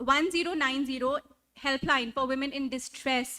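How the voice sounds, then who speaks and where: A woman with a Punjabi accent uses a raised, projected voice at a high pitch and a bright, sharp tone, moving at a moderate pace in a very clean recording with a silent background. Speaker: event host. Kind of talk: stage introductions. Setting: stage with audience. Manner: animated.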